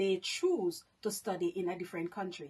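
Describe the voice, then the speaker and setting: This voice swings very widely in pitch and has a Jamaican accent. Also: woman. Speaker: vlogger. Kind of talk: casual monologue vlog.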